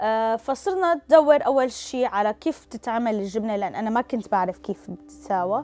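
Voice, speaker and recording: With hardly any pauses, a woman speaks in a dark, mellow tone with lively intonation. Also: fairly high pitch for a woman, moderate pace. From Syria, Damascus. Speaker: cheese maker, business owner. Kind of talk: interview testimony.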